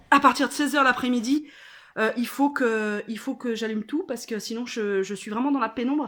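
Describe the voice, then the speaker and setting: A woman speaks at a fairly high pitch with ordinary pitch variation on a very clean recording with a silent background. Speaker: vlogger. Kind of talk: casual vlog chat. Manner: hesitant, many fillers.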